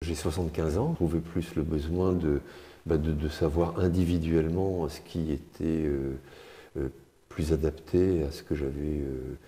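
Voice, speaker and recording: Very deep and low, a man's voice moves at a fairly slow pace with long, frequent pauses and monotone, flat intonation. His tone is dark and mellow, and somewhat breathy. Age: 70s. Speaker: retiree, gym client. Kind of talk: testimony interview. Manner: halting, many hesitations.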